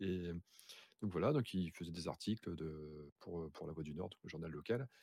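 A man with a very deep, low pitch and ordinary pitch variation speaks with long, frequent pauses, the sound dry and close with no echo. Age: 30s. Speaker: streamer and aspiring writer. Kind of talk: casual chat. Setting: video call.

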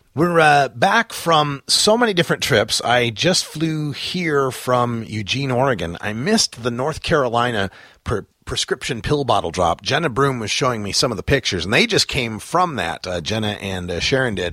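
A man's bright, sharp voice with very wide pitch swings and hardly any pauses. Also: medium pitch for a man, moderate pace. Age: 40s. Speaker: radio host. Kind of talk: live talk radio show. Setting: live stream from a house.

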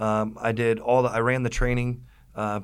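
In an American accent, a man talks at a medium pitch with monotone, flat intonation. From Virginia (Virginia Beach/Norfolk area). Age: 40s. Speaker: retired army veteran, boat tour business owner. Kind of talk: casual interview.

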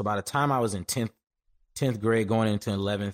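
A man's fairly low voice at a very fast pace, dry and close with no echo, in a very clean recording with a silent background. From Detroit, Michigan. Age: 20s. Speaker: filmmaker and cinematographer. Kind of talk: casual interview.

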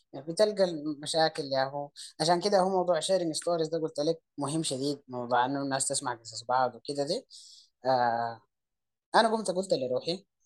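A man with a Sudanese accent speaks at a moderate pace, his fairly high pitch showing ordinary variation. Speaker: entrepreneur. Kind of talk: interview conversation.

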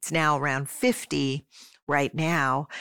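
Recorded very cleanly with a silent background and a dry, close sound with no echo, a woman speaks in a very deep, low pitch with fairly even intonation. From Pennsylvania, Philadelphia area (Swarthmore). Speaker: nonprofit executive director. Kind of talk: interview.

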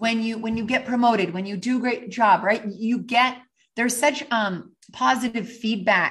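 Somewhat breathy and fairly slow, the voice carries a Canadian accent and ordinary pitch variation. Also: woman. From western Canada. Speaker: author and leadership speaker. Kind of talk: interview.

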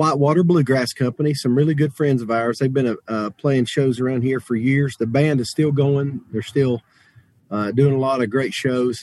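A man with a Southern Appalachian accent, medium in pitch, fairly even in intonation, at a moderate pace, in a dry, close recording with no echo. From western North Carolina, Jackson County. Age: 30s. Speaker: bluegrass musician. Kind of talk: casual interview.

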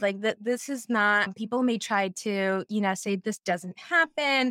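A woman with an American accent speaks at a medium pitch and a moderate pace. Her pitch varies in an ordinary way, and the sound is dry and close with no echo. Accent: general American with New England traits. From US Northeast. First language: Portuguese. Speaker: social scientist and former therapist. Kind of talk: interview conversation. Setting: video call. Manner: animated.

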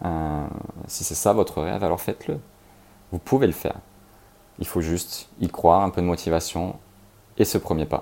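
A man speaks at a moderate pace with long, frequent pauses. His very deep, low voice has a dark, mellow tone. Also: ordinary pitch variation. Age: 30s. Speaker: podcast host. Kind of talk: motivational monologue.

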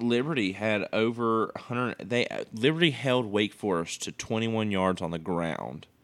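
A man with an unremarkable speaking voice, medium pitch and lively intonation, at a fairly slow pace with hardly any pauses. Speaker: podcast host, college sports. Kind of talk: casual sports banter podcast.

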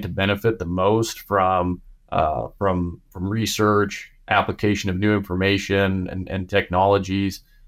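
A man's monotone, flat delivery in a Midwestern US accent, fairly low in pitch, at a moderate pace, in a very clean recording with a silent background. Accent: US Midwest. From Nebraska, US Midwest. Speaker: animal scientist, cattle nutrition expert. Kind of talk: interview. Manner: halting, many fillers and repeats.

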